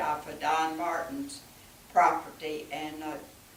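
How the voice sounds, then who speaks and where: A woman speaks fairly slowly in an Alabama accent, with ordinary pitch variation. The room echoes audibly, and background noise is noticeable. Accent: Southern US (Alabama). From US South, Alabama. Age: 80s+. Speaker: long-time church member. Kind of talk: interview, reminiscing.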